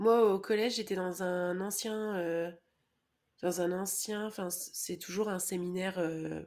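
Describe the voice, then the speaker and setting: This woman has a dark, mellow tone at medium pitch. Her intonation stays fairly even. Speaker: podcast co-host. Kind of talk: casual chat.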